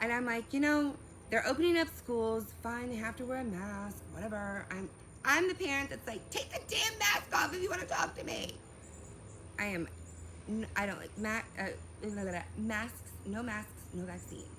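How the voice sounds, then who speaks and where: With audible room echo and noticeable background noise, a woman speaks in an animated tone at a moderate pace. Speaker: vlogger. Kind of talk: personal storytelling vlog. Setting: outdoors.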